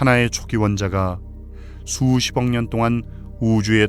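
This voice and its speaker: A man's calm, soothing voice of medium pitch with music in the background. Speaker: voice actor. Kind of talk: sleep documentary narration.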